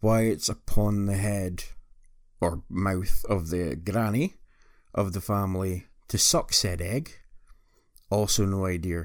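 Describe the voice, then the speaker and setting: A man with a fairly low voice talks at a very slow pace, leaving long, frequent pauses. His intonation is fairly even, and the recording is very clean with a silent background. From northeast Scotland. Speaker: podcast host. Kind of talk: recorded guest segment.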